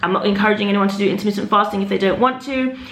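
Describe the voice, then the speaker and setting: A woman's fairly even intonation is heard through audible room echo and noticeable background noise. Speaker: lifestyle vlogger. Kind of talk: casual vlog haul. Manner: fast.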